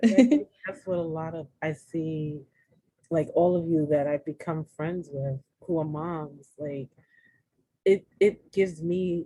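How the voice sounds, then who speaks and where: Soft-spoken and somewhat breathy, a woman with an American accent, fairly low in pitch and dark, mellow in tone, at a very slow pace with fairly even intonation and big swings in loudness. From New York City. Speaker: podcast guest, women's empowerment speaker. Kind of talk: casual interview chat.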